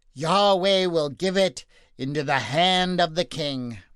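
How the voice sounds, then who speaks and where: Doing a put-on character voice, a man speaks loud and high-pitched at a fairly slow pace over a quiet background. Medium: read story. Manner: loud, theatrical.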